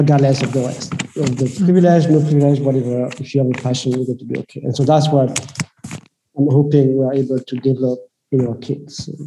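Speaking very fast in a flat monotone, a man of medium pitch talks with a French accent. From France. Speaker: impact investor. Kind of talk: interview conversation.

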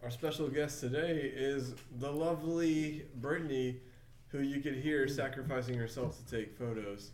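This man has an ordinary speaking voice. He talks at a moderate pace, his pitch varying in an ordinary way. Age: 30s. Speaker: podcast host. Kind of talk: casual chat.

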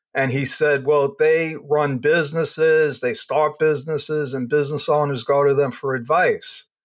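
The speaker has a New York accent and fairly even intonation. The moderate pace comes with hardly any pauses. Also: man, fairly high pitch for a man. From New York, Long Island. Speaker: accountant and business consultant. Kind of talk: interview.

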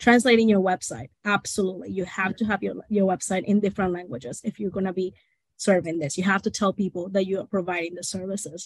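A woman's somewhat breathy, medium-pitched voice at a very fast pace, with ordinary pitch variation and a dry, close sound with no echo. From Venezuela (Portuguese-born). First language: Spanish or Portuguese. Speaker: linguistic consultant. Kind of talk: casual interview chat.

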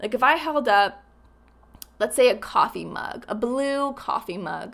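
Fairly high-pitched and with lively intonation, a woman speaks at a fairly slow pace in a normal speaking voice. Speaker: podcast host. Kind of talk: solo podcast monologue, motivational.

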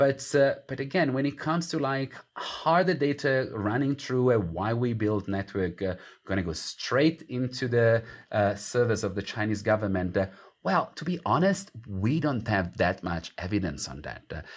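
On a very clean recording with a silent background, a man with an Italian accent speaks at a moderate pace in a medium pitch with very wide pitch swings. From Italy. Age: 40s. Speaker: academic author. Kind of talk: interview.

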